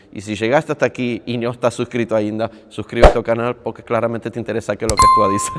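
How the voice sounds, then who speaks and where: Amid noticeable background noise, a man rattles along at a very fast pace with hardly any pauses and monotone, flat intonation. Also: medium pitch for a man. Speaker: padel coach and youtuber. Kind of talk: casual vlog talk to camera. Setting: on a padel court.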